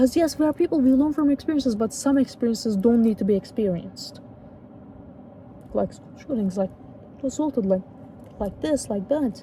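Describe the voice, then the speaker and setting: A woman with a high voice talks at a fairly quick clip, her intonation lively and her loudness swinging widely, breaking often into long pauses over noticeable background noise. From Turkey. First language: Turkish. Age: 20s. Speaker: youtuber. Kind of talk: casual vlog talk. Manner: halting.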